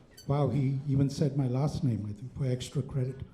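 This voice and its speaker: Someone with an Indian accent speaks at a moderate pace amid audible room echo. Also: man. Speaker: stand-up comedian. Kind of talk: stand-up. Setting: stage with audience.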